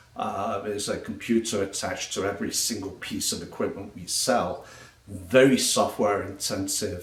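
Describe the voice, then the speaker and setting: A man with an English accent speaks at a moderate pace in a fairly low pitch, with noticeable background noise and audible room echo. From England. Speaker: travel blogger and technical sales trainer. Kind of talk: casual self-introduction monologue. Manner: hesitant with frequent fillers.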